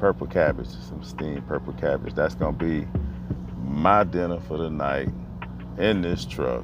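With music in the background and a dry sound with no echo, the voice moves at a fairly slow pace with ordinary pitch variation. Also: man. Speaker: truck driver vlogger. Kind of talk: casual vlog chat. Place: car. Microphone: earbuds.

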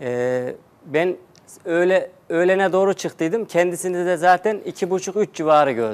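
This man has a high pitch and ordinary pitch variation. He speaks at a fairly slow pace. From Central Anatolia, Turkey (Nevşehir); Central Anatolia, Turkey. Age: 30s. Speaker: TV show participant seeking divorce; guest. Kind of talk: TV talk show interview. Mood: aggrieved, recounting betrayal. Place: studio. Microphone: lapel.

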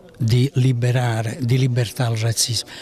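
A man speaks very slowly at a medium pitch, somewhat breathy and with monotone, flat intonation. The sound is dry, with no echo. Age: 70s. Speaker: youth football coach. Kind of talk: interview. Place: meeting room. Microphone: handheld.

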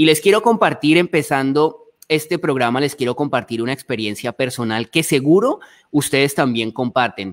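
A man with a Colombian accent, very wide pitch swings and a quiet background. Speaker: travel show host. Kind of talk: live panel chat. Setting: live stream video call. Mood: warm, nostalgic. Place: home room. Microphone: studio mic.

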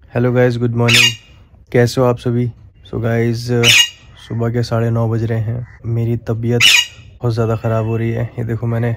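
Loud background noise fills the clip. Through it, a man speaks in a tired tone. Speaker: vlogger. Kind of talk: casual vlog chat. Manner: weak, feverish, tired voice. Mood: unwell, low energy. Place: home room. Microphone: phone near.

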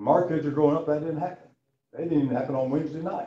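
A man speaks at a very fast pace with a dark, mellow tone and a somewhat breathy voice, with audible room echo. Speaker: Bible class teacher. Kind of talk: sermon. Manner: casual, folksy. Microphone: camera far.

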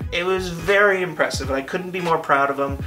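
With clear music in the background, a man talks at a very fast pace with fairly even intonation. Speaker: vlogger. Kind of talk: casual vlog chat. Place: home room.

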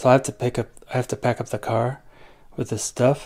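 A man's voice with vocal fry over a quiet background. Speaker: family vlogger. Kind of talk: casual vlog chat. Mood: reflective, somber. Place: home room.

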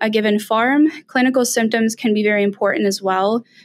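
Against a quiet background, a woman with a fairly high pitch talks at a fairly quick pace and keeps a fairly even intonation. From Southern California. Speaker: PhD student in swine nutrition. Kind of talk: podcast interview. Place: office. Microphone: webcam.

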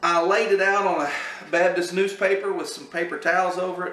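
A man's high voice, fairly quick and fairly even in intonation, with audible room echo. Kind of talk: cooking tutorial chat. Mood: relaxed, humorous. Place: kitchen. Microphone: camera far.

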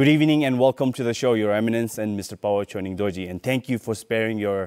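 The background is quiet. Pitch moves in an ordinary way. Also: man. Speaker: TV show host. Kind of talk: moderated panel discussion. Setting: video call. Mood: polite, respectful, warm. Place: studio. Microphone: lapel.

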